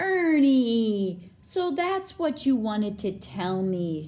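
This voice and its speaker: In a put-on character voice, a female-sounding voice moves at a very slow pace, pitched fairly high for a woman, with very wide pitch swings. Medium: read story. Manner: affectionate, calls friend old buddy.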